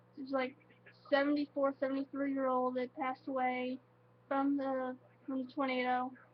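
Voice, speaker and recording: A woman's monotone, flat delivery moves at a moderate speed amid noticeable background noise. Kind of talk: casual talk to camera. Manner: halting, emotional.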